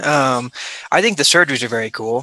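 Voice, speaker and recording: The voice has a Midwestern American accent and a very fast pace. Its tone is bright and sharp. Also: man. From US Midwest, Omaha, Nebraska. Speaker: surgeon. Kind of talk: interview.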